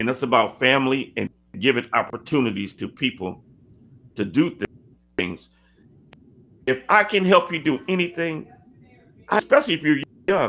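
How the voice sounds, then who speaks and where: A man with an American accent talks at a moderate pace, fairly high in pitch, with lively intonation. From California. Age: 60s. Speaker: sports coach. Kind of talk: interview conversation.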